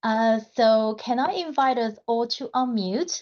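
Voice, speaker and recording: Her voice, a woman's, sits at a fairly high pitch. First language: not English. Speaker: community member. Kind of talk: online community gathering.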